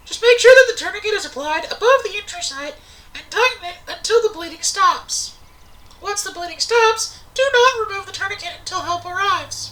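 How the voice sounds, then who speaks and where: Squeaky and extremely high-pitched, this put-on character voice moves at a fairly quick pace. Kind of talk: instructional video narration. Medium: comedy sketch. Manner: calm, clear, instructive.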